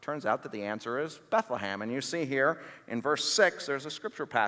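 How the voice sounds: Intonation rises and falls in a lively way. The delivery is a natural reading voice.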